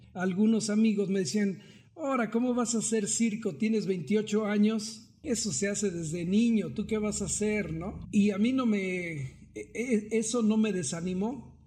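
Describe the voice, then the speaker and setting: A man talks at a fairly slow pace with hardly any pauses, his voice high-pitched with a dark, mellow tone. His pitch varies in an ordinary way. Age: 40s. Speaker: circus performer. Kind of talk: interview.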